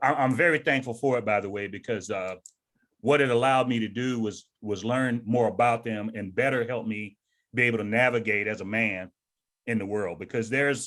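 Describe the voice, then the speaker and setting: Using a plain, everyday voice, a man talks at a fairly quick pace with an American accent. His medium pitch follows fairly even intonation. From US South. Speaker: retired army sergeant major and author. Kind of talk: interview.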